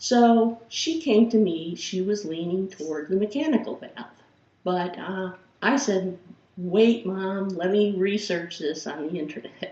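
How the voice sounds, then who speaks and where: A woman with a Chicago accent talks at a fairly slow pace, her intonation lively and her loudness swinging widely. Noticeable background noise sits behind her. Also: medium pitch for a woman. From Chicago, Illinois. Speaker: philosophy professor. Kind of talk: course introduction lecture.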